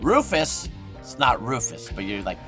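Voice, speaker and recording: A man is speaking. Music plays in the background. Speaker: voice actor. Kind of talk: interview answer. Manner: quiet, shy.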